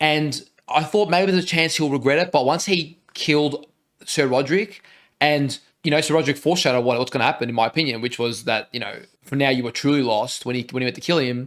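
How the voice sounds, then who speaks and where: In an Australian accent, a man talks at a very fast pace with a fairly high pitch and ordinary pitch variation. The recording is very clean, with a silent background. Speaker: reaction video co-host. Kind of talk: casual chat.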